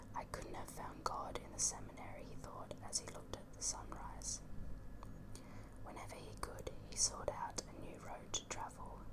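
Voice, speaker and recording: Someone is whispering at a moderate pace. Noticeable background noise sits behind the voice. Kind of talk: audiobook-style book reading; ASMR whisper reading. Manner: whispered.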